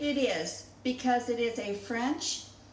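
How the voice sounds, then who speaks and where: With audible room echo and noticeable background noise, a woman speaks very slowly at a fairly high pitch. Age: 70s. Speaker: home cooking channel host. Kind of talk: cooking tutorial. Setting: home kitchen. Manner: chatty, folksy.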